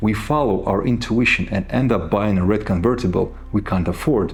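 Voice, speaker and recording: A man with a non-native accent talks at a fairly quick pace with ordinary pitch variation. Audible room echo surrounds his voice. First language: not English. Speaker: self-help speaker. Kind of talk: motivational talk.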